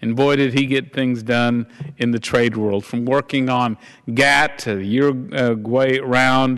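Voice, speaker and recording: A man with a Texan accent, fairly slow in pace and fairly even in intonation. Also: medium pitch for a man. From Texas. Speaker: congressman. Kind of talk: floor speech. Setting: House floor.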